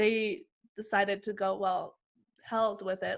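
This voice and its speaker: On a very clean recording with a silent background, a woman speaks at a fairly high pitch with a Western Canadian accent. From Canada, British Columbia (Lower Mainland). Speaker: basketball player. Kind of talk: interview.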